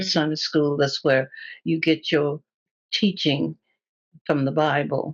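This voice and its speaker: A woman with a very deep, low pitch and vocal fry speaks very slowly with long, frequent pauses, fairly even intonation and very even loudness, in a dry, close sound with no echo. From Tennessee. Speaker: dressmaker. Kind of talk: oral history interview answer.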